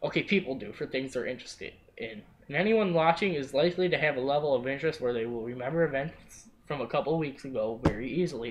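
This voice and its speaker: Delivered very fast, the speech shows a normal amount of pitch movement. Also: man, fairly high pitch for a man. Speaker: wrestling podcast host. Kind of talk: casual chat.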